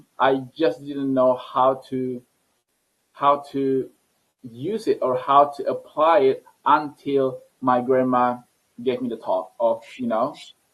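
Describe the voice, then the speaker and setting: Very slowly and with a non-native accent, a man speaks at a medium pitch with fairly even intonation. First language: not English. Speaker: scientist and entrepreneur. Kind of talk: interview. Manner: halting, many repetitions.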